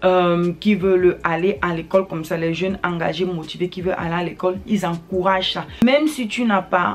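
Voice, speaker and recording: There is noticeable background noise as a woman talks at a moderate pace. Her pitch is medium, with ordinary variation. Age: young. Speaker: newly licensed commercial pilot, YouTuber. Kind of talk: advice vlog. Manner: hesitant, frequent filler sounds.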